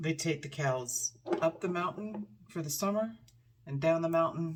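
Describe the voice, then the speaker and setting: A woman speaks quietly at a moderate pace, her fairly low pitch showing ordinary variation. She leaves long, frequent pauses, and there is noticeable background noise. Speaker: lifestyle vlogger. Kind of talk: casual chat. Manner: quiet, hushed.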